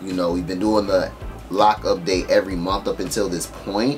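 A man keeps a moderate pace while faint music sounds in the background. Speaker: vlogger. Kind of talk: casual vlog chat. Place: home room.

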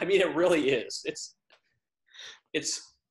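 Only a quiet background sits behind the man speaking. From US South. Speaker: podcast co-host. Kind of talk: casual chat. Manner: laughs often. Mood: relaxed, joking. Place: home room. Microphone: webcam.

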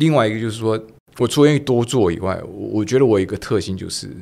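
Speaking at a fairly quick pace, a man with fairly low pitch uses lively intonation. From Taiwan. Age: 60s. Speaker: retired business executive; podcast guest. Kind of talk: interview. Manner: animated. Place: studio. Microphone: studio mic.

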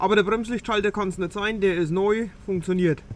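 A man talks at a moderate pace in a high pitch. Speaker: vlogger. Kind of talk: casual vlog chat. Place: farm machine. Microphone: phone near.

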